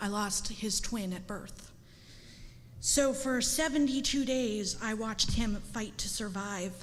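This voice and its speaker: A somewhat breathy woman's voice at a fairly high pitch, ordinary pitch variation, and audible room echo. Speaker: parent speaking at public comment. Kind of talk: public comment speech. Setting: school board meeting. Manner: emotional.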